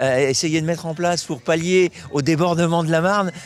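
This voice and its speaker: Fairly high-pitched man at a fairly quick pace over noticeable background noise. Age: 70s. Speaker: cycling club president. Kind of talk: interview. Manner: halting, emotional.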